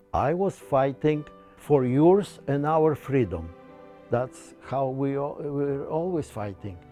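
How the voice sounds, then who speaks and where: Over music in the background, a man with a Polish accent speaks at a very slow pace and fairly high pitch with lively intonation. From Poland. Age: 80s+. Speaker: war veteran. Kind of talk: interview answer.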